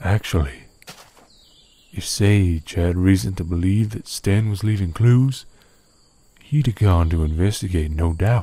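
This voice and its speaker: Putting on a gruff character voice, a man speaks very deep and low at a moderate pace, with long, frequent pauses. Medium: machinima. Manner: folksy, gruff.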